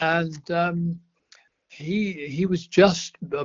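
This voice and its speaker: This is a man with a fairly high pitch. He speaks with an English accent. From England. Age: 80s+. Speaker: retired racing driver. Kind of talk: podcast interview answer.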